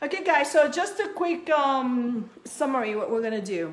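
Very wide pitch swings at a fairly slow pace. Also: woman. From Peru. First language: Spanish. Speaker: cookie decorating instructor. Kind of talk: live tutorial. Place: kitchen. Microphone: phone near.

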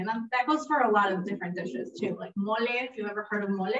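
Delivered at a very fast pace with ordinary pitch variation, the speech comes through light background noise and audible room echo. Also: woman. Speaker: program director hosting demo. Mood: warm, lightly humorous. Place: meeting room. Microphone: camera far.

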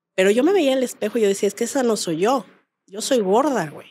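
A woman talks in an animated tone. Her pace is moderate. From Mexico. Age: 40s. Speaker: comedian's friend, podcast guest. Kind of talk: casual chat. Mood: candid, humorous, emphatic. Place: studio. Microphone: studio mic.

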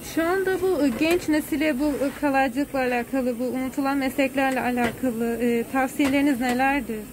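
Over noticeable background noise, a woman speaks at a moderate pace in a high pitch with ordinary pitch variation. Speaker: university student interviewer. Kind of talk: interview questions. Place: workshop.

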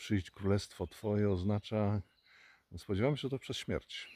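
Dark, mellow tone in a Polish accent at a fairly slow pace, dry and close with no echo, on a very clean recording with a silent background. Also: man. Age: 60s. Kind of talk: religious reflection talk.

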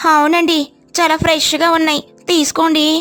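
In a cartoonish character voice, a woman speaks at an extremely high pitch and a moderate pace, with monotone, flat intonation. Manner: polite, shopkeeper's courtesy.

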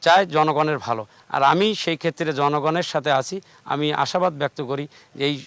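A man with an ordinary speaking voice talks at a fairly high pitch with fairly even intonation. The recording is very clean with a silent background and a dry, close sound with no echo. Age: 40s. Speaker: local politician. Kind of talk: political interview. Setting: outdoors with large crowd.

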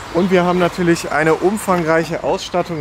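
A man at a moderate pace, dry sound with no echo and clear music in the background. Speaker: car vlogger. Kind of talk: casual vlog chat. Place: street. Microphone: phone near.

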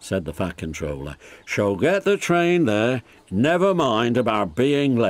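A natural reading voice is heard in the clip.

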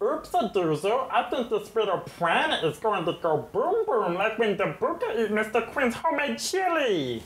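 A put-on character voice with fairly high pitch moves at a moderate pace. Audible echo surrounds it. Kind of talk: childlike broken phrasing. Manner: goofy, comedic.

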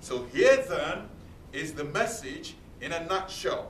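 A man's voice at a very slow pace, very wide pitch swings, audible room echo, and light background noise. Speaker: preacher. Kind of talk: sermon delivered to a congregation. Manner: earnest, emphatic, repeating key points. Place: meeting room. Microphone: camera far.

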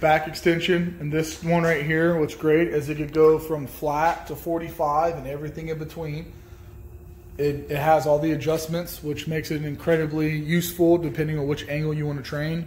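Over light background noise, a man talks at a moderate pace in a monotone, flat intonation. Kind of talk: casual tour narration. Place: garage. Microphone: phone near.

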